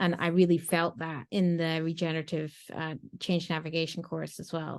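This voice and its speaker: A woman's fairly low voice in a flat monotone at a moderate pace. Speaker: agile and sustainability coach. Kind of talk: interview.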